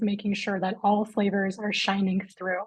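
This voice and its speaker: A somewhat breathy woman's voice proceeds at a moderate pace. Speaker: chef and culinary director. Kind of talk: live webinar presentation.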